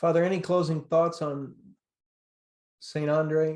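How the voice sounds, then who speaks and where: With an American accent, a man talks at a moderate pace in a fairly high pitch, his intonation monotone and flat. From upstate New York. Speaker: podcast host, doctor. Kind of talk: interview.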